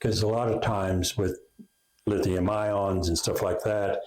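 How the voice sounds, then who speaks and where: A somewhat breathy, fairly low male voice with an American accent, at a moderate pace. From Oklahoma. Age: 60s. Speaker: inventor and company founder. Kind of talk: interview.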